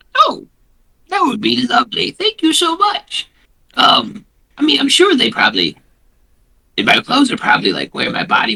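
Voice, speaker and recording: A man uses a put-on character voice with a cheerful tone. He speaks at a moderate pace. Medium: actual play. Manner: cheerful, easygoing.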